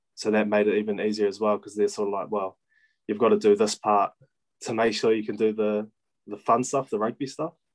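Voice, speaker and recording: A man speaks fairly quickly in a flat monotone at a fairly low pitch, the sound dry and close with no echo. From New Zealand, Kapiti Coast. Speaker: professional rugby player. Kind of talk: casual chat.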